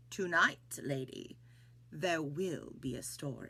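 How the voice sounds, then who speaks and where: The voice is a put-on character voice. It moves at a fairly slow pace. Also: woman. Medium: read story. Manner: slow, deliberate.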